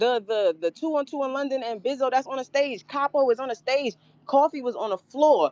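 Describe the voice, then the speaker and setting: A woman talks very fast and loud in a high pitch with an animated tone. The sound is dry and close, with no echo. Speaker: battle rapper. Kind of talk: interview. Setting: live stream.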